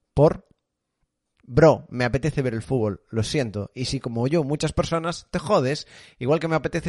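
At a fairly quick pace, the voice comes through with a dry, close sound and no echo. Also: man, quiet background. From Galicia, Spain (Rías Baixas). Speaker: streamer and podcast host. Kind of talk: casual live stream chat.

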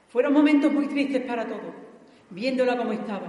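A woman's high, solemn voice with an Andalusian accent and ordinary pitch variation, against noticeable background noise. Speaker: pregonera giving the festival address. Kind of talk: pregón, formal devotional oration with verse, in church. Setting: church with audience. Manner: solemn, emotional, rhetorical and impassioned.

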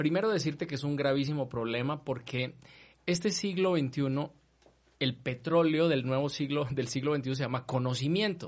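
In a plain, everyday voice, a man with a fairly high pitch and ordinary pitch variation talks at a moderate pace against a quiet background. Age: 40s. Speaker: university rector. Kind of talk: casual chat.

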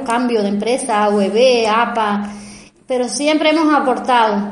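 A woman speaks with a Cuban accent and fairly even intonation. Noticeable background noise and audible room echo fill the recording. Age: 50s. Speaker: biological lab manager. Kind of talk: testimony. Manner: halting.

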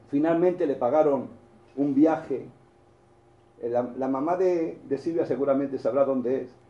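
A man with a fairly high pitch and a dark, mellow tone talks at a fairly slow pace, with audible room echo. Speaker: preacher. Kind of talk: sermon. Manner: halting.

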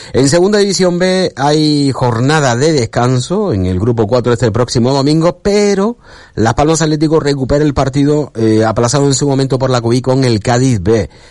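A man speaks at a medium pitch and a moderate pace, with an ordinary speaking voice. His intonation is lively, and he hardly pauses. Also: very even loudness. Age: 50s. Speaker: sports radio host. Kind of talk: radio sports talk show.

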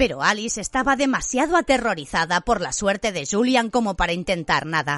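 Against a quiet background, someone speaks in a dramatic tone at a fairly quick pace. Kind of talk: literary audiobook reading, narrated fiction with character dialogue. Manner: measured, dramatic narrator's delivery, tense and suspenseful in the action scenes.

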